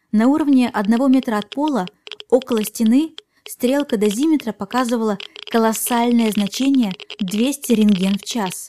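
An ordinary speaking voice at a moderate pace with ordinary pitch variation, recorded dry and close with no echo. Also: woman, fairly high pitch for a woman. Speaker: podcast host. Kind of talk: true-crime narration, scripted storytelling with eerie, suspenseful build-up. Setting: podcast recording. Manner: calm, clear scripted delivery that lingers on creepy details.

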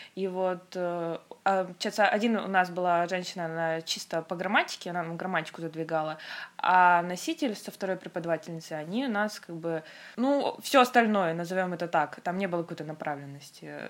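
A woman's fairly low-pitched, ordinary speaking voice at a fairly quick pace, with ordinary pitch variation. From Russia, Khanty-Mansi region. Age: 20s. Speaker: Korean language teacher. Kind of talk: casual chat.

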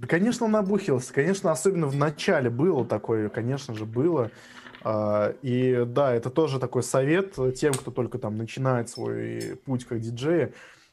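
A man's medium-pitched voice with lively intonation at a moderate pace, over noticeable background noise. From Russia, Samara. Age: 20s. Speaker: drum and bass producer. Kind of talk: casual chat.

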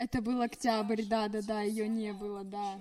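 Over noticeable background noise, a woman speaks at a moderate pace with a medium pitch. Her intonation is monotone and flat. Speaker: podcast guest. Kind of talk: casual chat.

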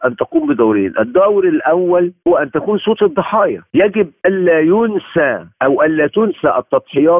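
A man's animated tone at a fairly slow pace, with very even loudness and hardly any pauses. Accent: Egyptian. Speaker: human rights lawyer. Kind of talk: interview.

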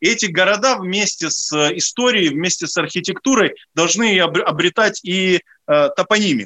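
In a dry, close sound with no echo, a man with a high pitch speaks at a moderate pace with ordinary pitch variation. His raised, projected voice has a bright, sharp tone. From Ukraine, Odesa. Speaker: historian and commentator. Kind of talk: radio interview. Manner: halting, many fillers.

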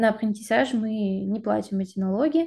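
Her tone is dark and mellow, somewhat breathy, at a medium pitch. The woman talks at a moderate pace. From Siberia, Russia (Krasnoyarsk). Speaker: master's student and UX designer apprentice. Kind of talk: interview.

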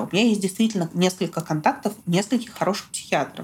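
A woman talks with ordinary pitch variation, and noticeable background noise can be heard. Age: 20s. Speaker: guest sharing depression experience. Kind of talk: personal testimony in conversation.

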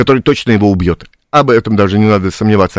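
A man talks at a very fast pace with ordinary pitch variation, in a dry, close recording with no echo, very clean and with a silent background. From Białystok, Poland. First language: Polish (speaking Russian). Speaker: playwright and theatre director. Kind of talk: radio interview. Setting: radio studio.

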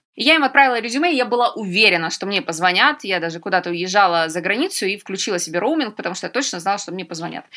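Very wide pitch swings come at a very fast pace over noticeable background noise. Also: woman. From Ukraine, Donetsk. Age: 30s. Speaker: travel TV producer. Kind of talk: interview.

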